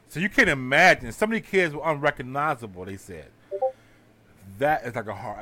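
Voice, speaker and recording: Pitch swinging very widely, a man speaks fairly quickly in a fairly high voice. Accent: American. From Houston, Texas. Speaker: podcast host. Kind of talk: casual chat.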